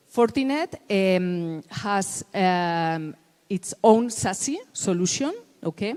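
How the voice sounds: A woman speaks slowly at a medium pitch, her tone clear, smooth and slightly mellow. Her intonation is lively.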